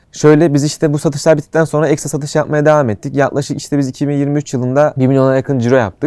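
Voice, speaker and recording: Speech rushes by at a very fast pace. Its tone is dark and mellow. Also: man. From Turkey, Antalya. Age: 20s. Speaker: startup founder. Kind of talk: interview.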